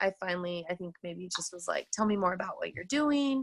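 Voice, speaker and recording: Bright and sharp in tone, a woman's medium-pitched voice carries lively intonation. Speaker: teacher and fitness coach. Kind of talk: personal testimony on a team call. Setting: group call. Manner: loud; casual, filler-heavy.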